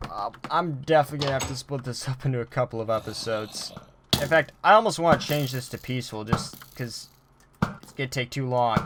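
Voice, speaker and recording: A quiet voice moves at a fairly quick pace against noticeable background noise. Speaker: gaming youtuber. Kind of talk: let's play commentary.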